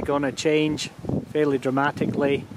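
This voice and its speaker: A man speaks at a fairly slow pace amid loud background noise, the voice itself dry with no echo. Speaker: homeowner vlogger. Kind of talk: casual vlog chat. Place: garden. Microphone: phone near.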